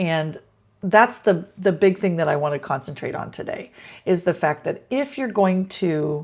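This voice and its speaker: An ordinary speaking voice moves along at a fairly slow pace. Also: woman. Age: 60s. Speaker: teacher. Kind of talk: casual talk to camera.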